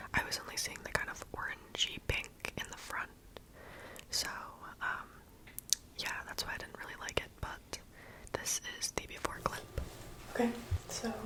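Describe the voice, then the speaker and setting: Moderately paced whispering, noticeable background noise behind it. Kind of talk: ASMR video, casual talk to camera. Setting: close microphone. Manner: whispered, soft-spoken.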